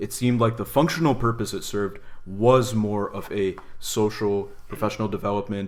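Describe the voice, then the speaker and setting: A man with an American accent and an unremarkable speaking voice talks at a moderate pace and medium pitch, his intonation lively and his loudness swinging widely. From United States. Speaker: podcast co-host. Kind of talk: casual discussion.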